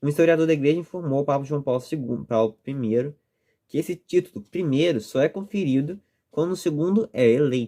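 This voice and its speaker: A man's fairly high, dark and mellow voice at a fairly quick pace, with ordinary pitch variation, on a very clean recording with a silent background. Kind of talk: reading aloud with commentary. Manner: fast.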